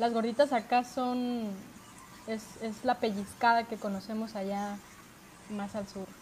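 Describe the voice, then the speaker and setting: A woman with a fairly high voice speaks at a fairly slow pace in a flat, monotone delivery that is somewhat breathy, with big swings in loudness and long, frequent pauses. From Mexico, Puerto Vallarta (Pacific coast). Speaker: podcast co-host. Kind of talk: casual chat.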